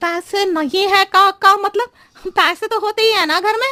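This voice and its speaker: In a cartoonish character voice, a female-sounding speaker talks at a fairly quick pace with an extremely high pitch. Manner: roundabout, riddling, chatty.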